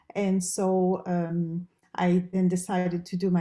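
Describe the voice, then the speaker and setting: A woman's dark, mellow voice with a French Canadian accent. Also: very clean recording, silent background. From Quebec, Canada. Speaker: professor and research dean. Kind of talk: interview.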